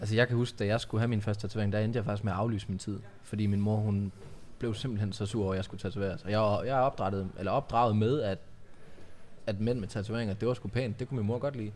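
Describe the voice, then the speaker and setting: Talking at a very fast pace, a man with a fairly low voice keeps his intonation fairly even. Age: 30s. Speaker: podcast host, tattoo studio owner. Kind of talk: casual interview chat.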